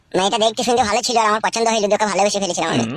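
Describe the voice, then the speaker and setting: A female-sounding, cartoonish character voice at a medium pitch races along at a very fast pace. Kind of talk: rustic comic cartoon dialogue. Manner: defiant, grumbling.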